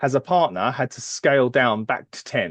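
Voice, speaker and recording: The speaker has a British accent and very wide pitch swings at a moderate pace. The sound is dry and close with no echo, over a quiet background. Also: man. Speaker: HR services executive. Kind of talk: podcast interview. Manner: hesitant, many fillers.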